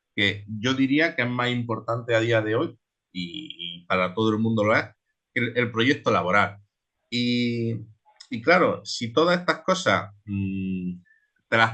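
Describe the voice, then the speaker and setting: Lively intonation from a man at a medium pitch. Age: 20s. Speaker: transhumant shepherd. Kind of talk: online seminar talk. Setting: online seminar. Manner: halting, many repetitions.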